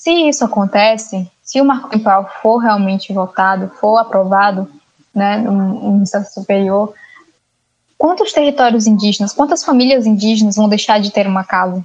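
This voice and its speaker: A woman's fairly high, unremarkable speaking voice at a moderate pace, with very even loudness and ordinary pitch variation. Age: young. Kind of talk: interview.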